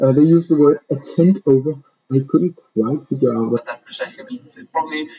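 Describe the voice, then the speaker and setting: Speaking at a moderate pace with a non-native accent, a man has a fairly high pitch and a somewhat breathy voice. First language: not English. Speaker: reading group presenter. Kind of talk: presentation. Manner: halting, many fillers.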